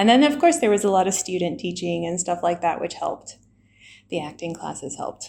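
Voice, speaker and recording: A woman with an American accent speaks fairly quickly at medium pitch, her lively intonation marked by vocal fry and big swings in loudness. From US South, Alabama. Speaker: English teacher and blogger. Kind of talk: casual interview chat. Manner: hesitant, many fillers.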